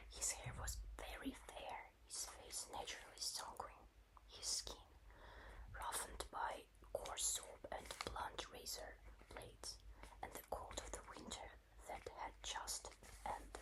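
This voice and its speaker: Someone whispers in a gentle tone with a Russian accent, at a fairly slow pace. Long, frequent pauses break it up over noticeable background noise. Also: woman. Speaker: ASMR creator. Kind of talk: audiobook-style reading. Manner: soft, slow, gentle.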